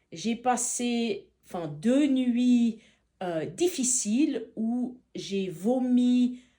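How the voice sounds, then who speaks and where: Speaking at a very slow pace, a woman has a high pitch and a dark, mellow tone. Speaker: feng shui consultant, fasting retreat participant. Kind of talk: testimony. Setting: retreat in Montenegro. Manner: halting.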